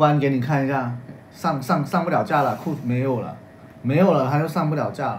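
Against light background noise, a man in an unremarkable speaking voice talks at a fairly quick pace with a fairly high pitch and fairly even intonation. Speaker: livestream co-host. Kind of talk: live-stream sales chat. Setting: livestream. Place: home room. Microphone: phone near.

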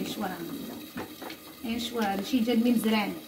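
A woman's voice, with ordinary pitch variation, is heard through noticeable background noise. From Morocco. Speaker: cooking vlogger. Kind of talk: casual vlog chat while cooking.

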